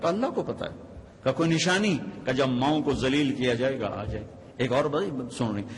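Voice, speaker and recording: Using lively intonation at a medium pitch, a man has an unremarkable speaking voice. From Pakistan. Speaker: Islamic preacher. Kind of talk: religious sermon.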